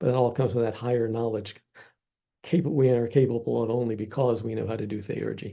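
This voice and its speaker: Over a quiet background, a man talks at a fairly quick pace and a medium pitch. His tone is dark and mellow, with monotone, flat intonation. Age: 70s. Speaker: classics professor. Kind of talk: lecture. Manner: casual, conversational.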